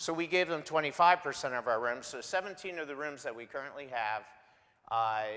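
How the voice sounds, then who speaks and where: At a fairly quick pace, a man speaks with a fairly high pitch and a bright, sharp tone. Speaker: homeless shelter staff member. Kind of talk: guest presentation in church. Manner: loud.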